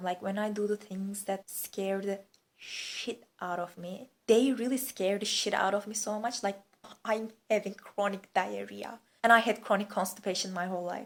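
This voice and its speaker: With a Turkish accent, a woman speaks at a moderate pace in a medium-pitched voice with fairly even intonation. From Turkey. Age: 20s. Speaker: vlogger. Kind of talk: casual chat. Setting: lying on living room floor.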